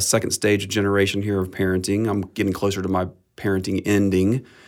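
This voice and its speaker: A man's plain, everyday voice, fairly low in pitch and fairly quick in pace, in a very clean recording with a silent background. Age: 50s. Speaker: pastor. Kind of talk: casual chat. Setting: studio.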